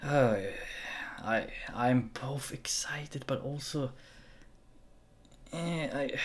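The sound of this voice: A very slow delivery with ordinary pitch variation. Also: man, medium pitch for a man.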